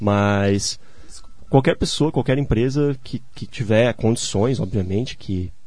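A dark, mellow tone with ordinary pitch variation. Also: man. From southern Brazil, Santa Catarina (Gaspar). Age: 20s. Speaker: civil engineer. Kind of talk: radio interview. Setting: radio studio.

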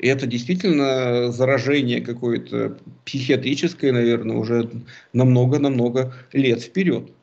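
A man talks at a fairly slow pace with a medium pitch. He has an unremarkable speaking voice with ordinary pitch variation. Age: 40s. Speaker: political analyst. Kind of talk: casual chat.

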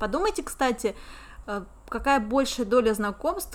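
A woman speaks in a plain, everyday voice with a fairly high pitch. Her intonation is lively and her pace fairly slow. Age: 30s. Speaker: podcast co-host, English teacher and entrepreneur. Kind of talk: casual chat.

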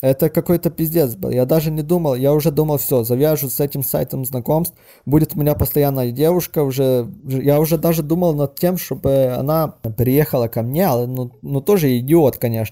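With a Ukrainian accent, a man speaks at a moderate pace and fairly high pitch, his tone dark and mellow with ordinary pitch variation, on a very clean recording with a silent background. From western Ukraine. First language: Ukrainian (speaking Russian). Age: 30s. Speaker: caller. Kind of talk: personal story monologue. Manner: halting.

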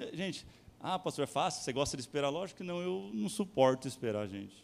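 At a very fast pace, a man speaks at a fairly high pitch with very wide pitch swings. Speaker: pastor. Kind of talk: sermon. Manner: animated.

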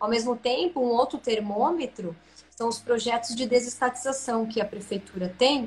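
This woman's voice is high, with ordinary pitch variation, and noticeable background noise runs underneath. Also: moderate pace. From Santa Catarina, Brazil (rural interior). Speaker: business executive. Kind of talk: interview on a live stream. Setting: online live stream.

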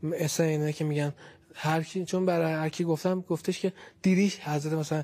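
The voice moves at a very fast pace in a dark, mellow tone, its intonation monotone and flat. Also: man, fairly high pitch for a man. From Tehran, Iran. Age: 20s. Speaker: university student, near-death experiencer. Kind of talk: personal testimony interview.

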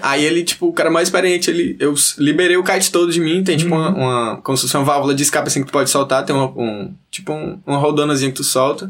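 The speech rushes at a very fast pace with hardly any pauses. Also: man, fairly high pitch for a man, ordinary pitch variation. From Northeast Brazil, Teresina, Piauí. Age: 20s. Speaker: kitesurfer and surfer. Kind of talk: casual chat.

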